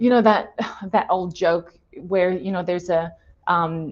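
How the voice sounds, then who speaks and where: A woman's voice with an Australian accent. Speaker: design thinking consultant. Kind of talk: webinar presentation.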